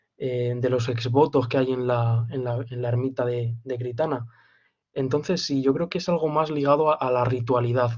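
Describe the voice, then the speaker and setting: A man speaks with a somewhat breathy voice and fairly even intonation. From Spain, Castilla-La Mancha (Campo de Criptana). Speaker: student in a literature seminar. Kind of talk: seminar discussion. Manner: halting.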